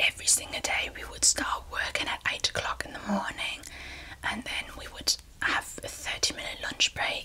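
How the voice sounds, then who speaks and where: A woman whispers at a moderate pace with big swings in loudness. Noticeable background noise is present. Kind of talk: ASMR storytelling. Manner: soft-spoken, relaxed, conversational.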